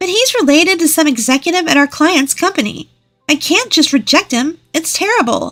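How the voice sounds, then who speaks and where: Using a put-on character voice, a woman speaks at an extremely high pitch with very wide pitch swings and a fairly quick pace. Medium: read story. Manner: sneering, condescending.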